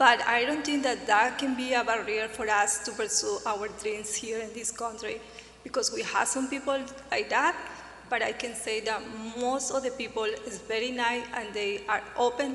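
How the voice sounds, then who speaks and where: Noticeable background noise sits behind a woman speaking at a moderate pace. Her high pitch follows fairly even intonation. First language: not English. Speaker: newcomer panelist. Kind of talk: panel discussion.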